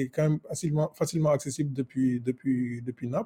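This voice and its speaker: A man's fairly high-pitched voice with fairly even intonation, over noticeable background noise. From Senegal. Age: 20s. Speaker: software engineer, travel guest. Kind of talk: casual chat. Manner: halting, many repetitions.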